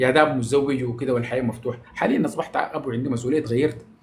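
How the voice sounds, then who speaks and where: A man speaks with a Sudanese accent. His tone is animated. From Sudan, Omdurman. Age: 40s. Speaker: social media personality. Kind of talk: casual live-stream monologue.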